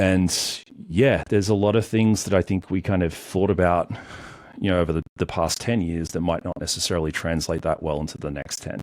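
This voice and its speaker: A very deep, low-voiced man with an Australian accent at a fairly quick pace with ordinary pitch variation, on a very clean recording with a silent background. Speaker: cybersecurity entrepreneur. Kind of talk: podcast interview. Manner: hesitant, filler-heavy.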